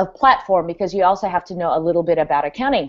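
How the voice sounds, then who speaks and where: Here a woman talks in a normal speaking voice at a medium pitch. Her intonation is lively. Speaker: guest on developer team, presenting new hub. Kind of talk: live video hangout, product walkthrough. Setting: video call. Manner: many filler words (um, uh).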